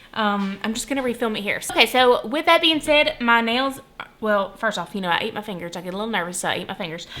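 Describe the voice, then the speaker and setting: Very fast speech from a woman with a fairly high pitch, noticeable background noise behind her. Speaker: budgeting vlogger. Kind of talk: casual tutorial. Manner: soft-spoken.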